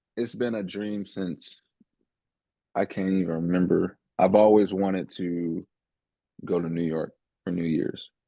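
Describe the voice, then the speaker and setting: A man with a slight Southern US accent speaks at a fairly slow pace in a very deep, low pitch, with fairly even intonation and long, frequent pauses. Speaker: podcast host. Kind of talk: casual chat.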